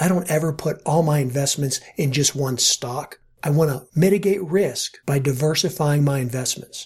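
Somewhat breathy speech runs at a moderate pace with hardly any pauses and ordinary pitch variation. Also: man, fairly high pitch for a man. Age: 50s. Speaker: podcast host and money manager. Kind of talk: solo podcast monologue. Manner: casual, conversational.

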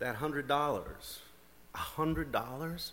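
A shaky, put-on character voice comes through. There is light background noise behind it. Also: man, fairly high pitch for a man.

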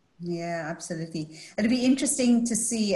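A woman's voice moves at a moderate tempo, pitch varying normally, against noticeable background noise. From Scotland. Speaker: panel moderator. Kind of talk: moderated panel discussion. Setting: video call.

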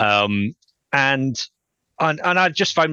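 A man with a Scottish accent and lively intonation. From Scotland. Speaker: futurist and author. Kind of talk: interview.

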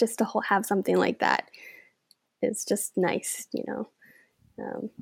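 Lively intonation and vocal fry from a woman, with long, frequent pauses, in a very clean recording with a silent background and a dry, close sound with no echo. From Denmark. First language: Danish. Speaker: author. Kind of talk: casual interview.

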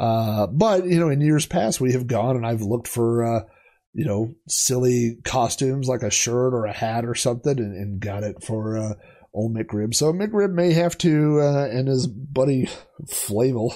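The background stays quiet. A man's voice has a dark, mellow tone. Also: medium pitch for a man, ordinary pitch variation, moderate pace. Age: 40s. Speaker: collector and video podcast host. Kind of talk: casual solo show-and-tell monologue. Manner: relaxed, many filler words.

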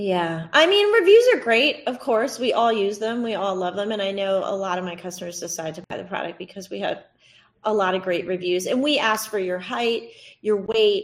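A woman with a plain, everyday voice, medium in pitch, at a moderate pace with ordinary pitch variation. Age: 40s. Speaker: swimwear entrepreneur. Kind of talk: interview.

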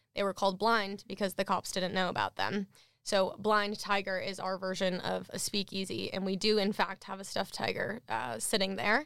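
With an American accent and vocal fry, a woman talks at a moderate pace, her medium pitch showing ordinary variation. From Minnesota. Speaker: beverage company founder. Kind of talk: interview. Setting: studio.

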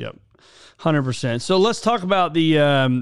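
At a fairly quick pace, a man talks in a fairly high voice that is an unremarkable speaking voice. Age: 40s. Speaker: podcast host. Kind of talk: casual interview.

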